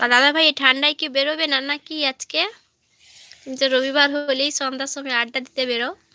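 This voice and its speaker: A woman projects a raised, high voice, recorded dry and close with no echo. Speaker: live-stream vlogger. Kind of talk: casual chat. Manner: animated.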